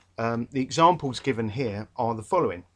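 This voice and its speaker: With a London accent, a man speaks at a fairly quick pace, his medium pitch showing ordinary variation. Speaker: English literature tutor. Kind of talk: revision lecture. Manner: casual, hesitant with fillers.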